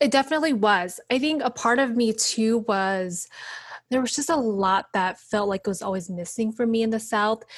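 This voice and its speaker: In a very clean recording with a silent background, a woman speaks with an American accent at a moderate pace. Hers is a normal speaking voice, fairly high in pitch, with ordinary pitch variation. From US Midwest, Wisconsin. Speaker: educator and community organizer. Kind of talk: casual interview.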